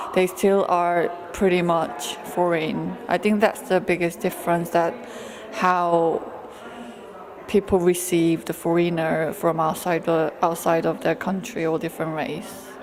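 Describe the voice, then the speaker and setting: A woman talks at a fairly slow pace with a Korean accent. Her intonation is fairly even, and there is noticeable background noise. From South Korea. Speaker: photographer. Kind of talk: interview. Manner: halting.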